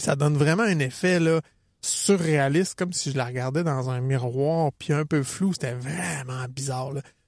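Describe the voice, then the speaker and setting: A man speaks at a fairly slow pace with a Quebec accent. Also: fairly high pitch for a man, ordinary pitch variation. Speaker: running coach and podcast co-host. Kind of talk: casual chat.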